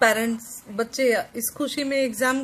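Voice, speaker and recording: This woman has a Bihar accent. Her intonation stays fairly even. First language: Maithili (speaking Hindi). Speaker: vlogger. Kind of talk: casual vlog talk to camera. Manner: halting, with fillers and restarts.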